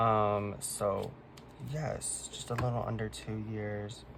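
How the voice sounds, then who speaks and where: The voice is quiet. It is somewhat breathy. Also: man. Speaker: K-pop collector vlogger. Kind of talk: casual chat. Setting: at home, late at night.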